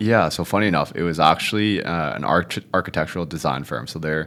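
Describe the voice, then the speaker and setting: A man's very deep, low voice with vocal fry, a Canadian accent, ordinary pitch variation and a fairly quick pace. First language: Cantonese. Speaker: real estate agent. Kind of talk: podcast interview.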